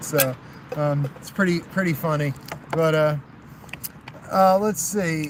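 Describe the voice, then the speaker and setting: Noticeable background noise sits behind a man with an American accent. His voice is fairly high with ordinary pitch variation. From New Jersey. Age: 30s. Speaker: long-distance walker vlogger. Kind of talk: casual vlog chat to live viewers. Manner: rambling with many fillers.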